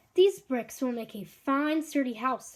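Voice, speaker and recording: A high-pitched, female-sounding put-on character voice at a moderate pace. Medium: read story. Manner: brisk, self-assured.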